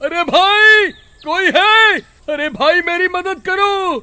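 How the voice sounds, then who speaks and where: Using a put-on character voice, a man pitches it extremely high. His delivery is very slow. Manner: shouting, pleading.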